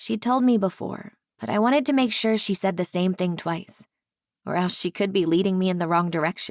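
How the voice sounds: Quiet surroundings and a natural reading voice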